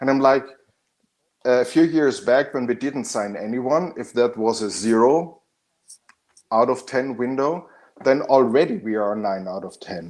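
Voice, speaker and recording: Pausing long and often, a man talks at a fairly slow pace with a medium pitch and ordinary pitch variation. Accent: German. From Austria. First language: German. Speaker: football fan panelist. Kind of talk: casual chat. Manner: animated.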